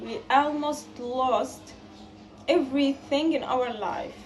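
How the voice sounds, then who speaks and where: Very slowly and at a high pitch, a woman speaks in a space with audible room echo. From Gaza, Palestine. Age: 20s. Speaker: student appealing for fundraising support. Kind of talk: personal testimony appeal.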